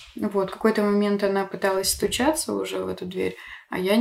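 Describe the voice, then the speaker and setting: Her voice is at a medium pitch for a woman, and she talks at a moderate pace. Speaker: podcast host. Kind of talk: casual chat. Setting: at home. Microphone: poorer backup recording, quieter than guest.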